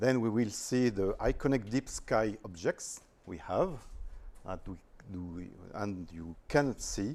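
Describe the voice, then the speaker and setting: With a French accent, a man speaks fairly slowly in a fairly low voice, using lively intonation, big swings in loudness, and long, frequent pauses. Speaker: astrophotographer, visiting speaker. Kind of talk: presentation. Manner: hesitant, careful non-native English.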